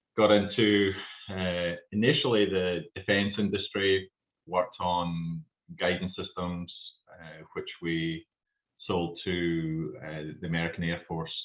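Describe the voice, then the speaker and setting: A man speaks in a Scottish accent with a very deep, low pitch. His pace is very slow and his intonation fairly even. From Scotland. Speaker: company founder. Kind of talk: casual interview. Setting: video podcast. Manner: halting.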